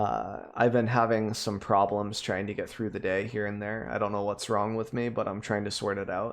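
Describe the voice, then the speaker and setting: Against a quiet background, a man speaks at a moderate pace with hardly any pauses. His fairly low pitch carries monotone, flat intonation. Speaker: gaming content creator. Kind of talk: casual commentary. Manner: low energy.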